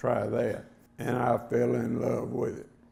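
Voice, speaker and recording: With audible room echo, a man of medium pitch speaks at a moderate pace. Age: 70s. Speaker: hunting game call maker, award recipient. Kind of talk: acceptance speech. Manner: plain, unpolished delivery.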